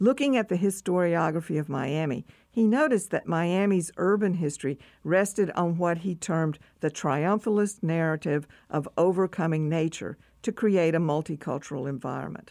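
Heard in a very clean recording with a silent background is an ordinary speaking voice. It moves at a moderate pace with ordinary pitch variation. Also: woman, fairly low pitch for a woman. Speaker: history professor. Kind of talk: reading aloud. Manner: formal.

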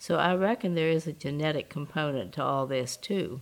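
A woman's very deep, low voice with lively intonation, in a Southern US accent. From US South. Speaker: civil rights activist. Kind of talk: interview testimony.

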